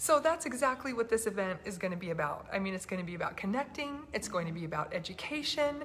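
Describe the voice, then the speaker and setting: Noticeable background noise sits behind a soft-spoken woman with a medium pitch. She talks very fast with very wide pitch swings. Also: hardly any pauses. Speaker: health freedom activist host. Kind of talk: casual chat. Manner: soft-spoken, talking quietly.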